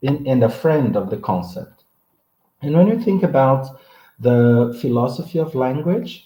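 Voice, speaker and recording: Somewhat breathy man at a medium pitch, dark and mellow in tone, with lively intonation and a fairly slow pace. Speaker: professor. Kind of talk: lecture. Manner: halting.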